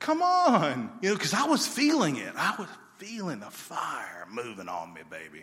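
In an Alabama accent, a man speaks at a fairly slow pace amid audible room echo. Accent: Southern US (Alabama). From US South (Alabama). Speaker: missionary. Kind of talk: sermon. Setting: church stage with congregation.

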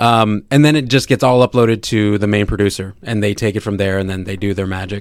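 A man with an American accent and a normal speaking voice talks at a fairly quick pace with hardly any pauses. His pitch is fairly low and his intonation fairly even. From Sacramento, California. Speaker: podcast host and movie reviewer. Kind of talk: casual chat.

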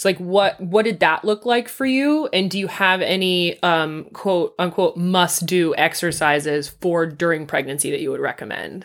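On a very clean recording with a silent background, a woman with a normal speaking voice talks at a medium pitch with hardly any pauses. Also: lively intonation, moderate pace. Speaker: podcast host. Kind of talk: casual chat.

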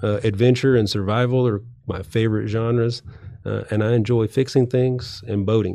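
Talking at a fairly quick pace, a man with a Texan accent has a medium pitch, a dark, mellow tone and monotone, flat intonation. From West Texas. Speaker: financial adviser. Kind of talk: interview. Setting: studio.

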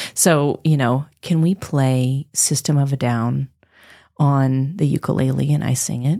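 A woman in a Pacific Northwest accent speaks at a fairly slow pace in a very deep, low voice, dark and mellow in tone, with fairly even intonation. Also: very clean recording, silent background. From Moscow, Idaho. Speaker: jazz singer and voice teacher. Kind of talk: casual chat.

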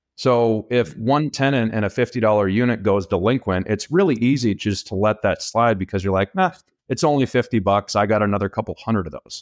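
In a very clean, dry, close recording with no echo and a silent background, a man with an American accent and a normal speaking voice talks at a medium pitch and a fairly quick pace, with ordinary pitch variation and hardly any pauses. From Minnesota. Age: 30s. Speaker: real estate investor. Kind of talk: casual interview.

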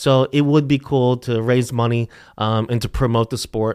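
A man's normal speaking voice with an American accent, medium in pitch, fairly even in intonation and moderate in pace, on a very clean, dry, close recording with a silent background and no echo. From US, Philadelphia area. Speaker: soccer coach. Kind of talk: casual chat.

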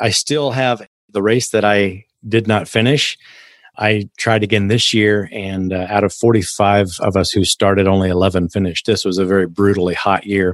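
This man has an ordinary speaking voice, a fairly low pitch and an American accent, talking at a moderate pace with fairly even intonation against a quiet background. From Kansas, US. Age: 60s. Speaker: mindset coach and ultramarathon runner. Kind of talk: casual interview chat.

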